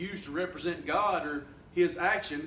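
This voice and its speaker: A man's high-pitched voice in a Southern US accent at a fairly slow pace, with noticeable background noise and audible room echo. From US South. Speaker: student reviewer. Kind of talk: spoken peer review of a paper. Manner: halting, many fillers.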